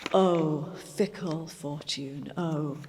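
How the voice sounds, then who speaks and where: A woman's voice over noticeable background noise. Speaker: poetry reciter. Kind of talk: poetry reading.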